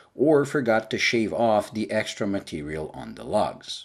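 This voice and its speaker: A man with a non-native accent speaks at a fairly slow pace and a medium pitch in a very clean recording with a silent background. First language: not English. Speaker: watch reviewer. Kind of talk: product review.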